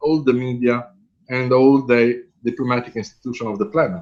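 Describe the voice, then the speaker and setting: At a moderate pace, a man speaks with an Italian accent. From Italy. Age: 50s. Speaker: professor. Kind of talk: lecture.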